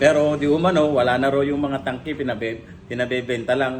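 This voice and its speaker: Over noticeable background noise, a man speaks in a fairly high pitch with fairly even intonation. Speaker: vlogger and LPG retailer. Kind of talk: casual vlog monologue. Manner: halting, many fillers.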